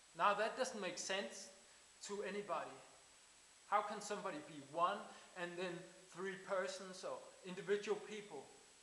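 Amid audible room echo, a man with a high pitch and a fairly bright tone talks at a moderate pace with ordinary pitch variation.

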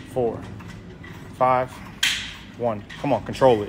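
A man is talking. Noticeable background noise runs behind him. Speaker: trainer coaching a workout. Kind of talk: workout coaching and rep counting. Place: gym. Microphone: phone near.

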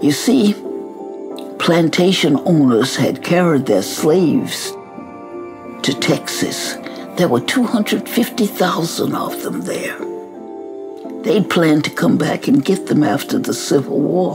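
With clear music in the background, a woman talks at a very slow pace. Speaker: activist. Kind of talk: storytelling message to students. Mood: warm, earnest storytelling. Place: home room.

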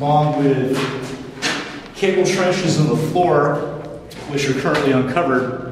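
Over noticeable background noise and strong room echo, a man speaks at a moderate pace with fairly even intonation. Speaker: site tour guide. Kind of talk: guided tour commentary. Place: empty room.

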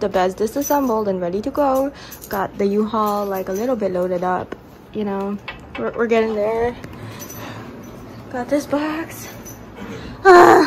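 Noticeable background noise sits behind a woman's voice. She speaks at a fairly slow pace with long, frequent pauses. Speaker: vlogger moving house. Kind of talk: casual vlog chat. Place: empty room. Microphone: phone near.

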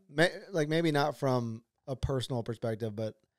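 A man is speaking. He has a Texan accent. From Texas, Dripping Springs. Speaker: podcast host. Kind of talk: casual interview.

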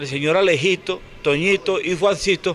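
A man talks over light background noise. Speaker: sports commentator. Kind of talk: commentary. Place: street. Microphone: handheld.

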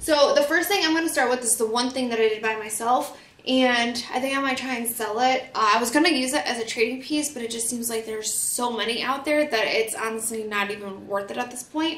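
Audible room echo carries a woman's fairly high voice in an American accent. Her tone is fairly bright. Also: ordinary pitch variation, fairly quick pace, few pauses.

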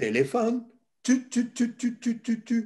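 A man talks very slowly. Little sound comes from behind him. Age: old. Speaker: retired teacher and screen-use educator. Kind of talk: talk to children. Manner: animated. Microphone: video call.

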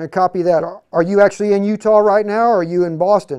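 A man speaks at a fast pace in a high pitch, his tone slightly mellow yet clear and smooth, with fairly even intonation.

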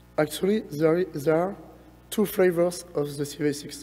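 A man with a fairly high-pitched voice talks over music playing in the background. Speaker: research engineer presenting. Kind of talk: conference lightning talk. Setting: conference stage, presentation. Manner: halting, many fillers.

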